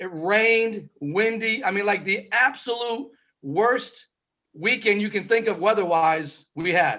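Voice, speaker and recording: Raising and projecting his voice, a man speaks fairly slowly in a high, bright, sharp tone. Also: ordinary pitch variation. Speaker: co-host, inventor. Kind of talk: casual chat.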